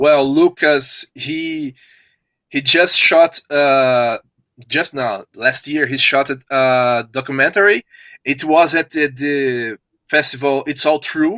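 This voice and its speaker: A man with a Portuguese accent speaks at a very slow pace, his fairly high pitch showing ordinary variation. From Brazil. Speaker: filmmaker. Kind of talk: live video interview. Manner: halting.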